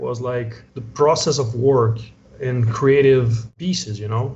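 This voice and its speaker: A man at medium pitch and moderate pace, with a Portuguese accent and noticeable background noise. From Brazil, São Paulo area. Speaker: comic book artist. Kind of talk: casual interview.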